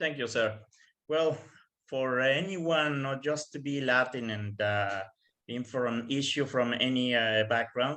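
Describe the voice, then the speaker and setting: A man talks in a Spanish accent. His pitch varies in an ordinary way. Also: medium pitch for a man, fairly slow pace. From tropical Mexico. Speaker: Canadian Armed Forces member. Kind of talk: panel presentation answering questions. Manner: halting, frequent fillers.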